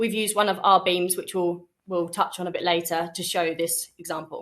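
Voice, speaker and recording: A woman speaks with a British accent. Her intonation is monotone and flat. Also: fairly low pitch for a woman. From UK. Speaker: sales representative. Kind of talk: webinar product presentation. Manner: fast.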